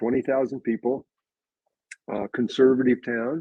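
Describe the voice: In an American accent, a man of medium pitch speaks at a fairly slow pace with little pitch movement, vocal fry and a slightly husky edge, recorded in a dry, close sound with no echo.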